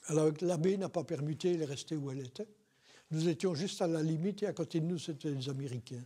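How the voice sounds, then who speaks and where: At a very fast pace, the speaker uses a dark, mellow tone with ordinary pitch variation. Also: man, fairly high pitch for a man. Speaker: war veteran. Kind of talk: oral history interview. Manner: hesitant, many fillers.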